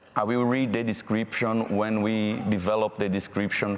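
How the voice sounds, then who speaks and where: Monotone, flat intonation comes with a Brazilian accent against noticeable background noise. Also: man. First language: Portuguese. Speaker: panel moderator. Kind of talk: panel discussion moderation; reading aloud.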